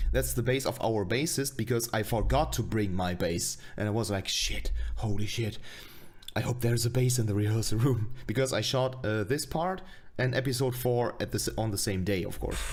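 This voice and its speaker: A somewhat breathy man speaks at a moderate pace. His pitch is medium, with ordinary variation. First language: not English. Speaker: streamer reacting to own web series. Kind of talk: casual stream commentary. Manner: halting.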